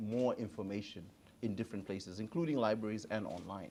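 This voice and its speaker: In an East African accent, a man talks with fairly even intonation and a fairly low pitch. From Tanzania. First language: Swahili. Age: 40s. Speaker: digital advisor. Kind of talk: panel conversation.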